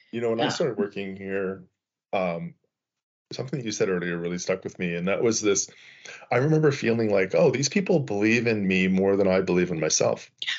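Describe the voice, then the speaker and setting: At a fairly quick pace, a man with a Canadian accent talks in a normal speaking voice with a fairly low pitch and ordinary pitch variation. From Canada. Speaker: podcast host. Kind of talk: casual chat.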